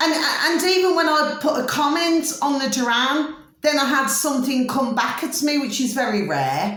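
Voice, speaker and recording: The tone is animated, in a Birmingham accent. Room echo is audible. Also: woman. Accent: Brummie. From Birmingham, England. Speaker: astrology vlogger. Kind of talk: casual monologue.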